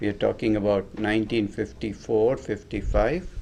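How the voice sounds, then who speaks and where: A man speaks with a Tamil accent. His pitch is medium and his pace fairly slow. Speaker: homeopathy teacher. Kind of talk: lecture.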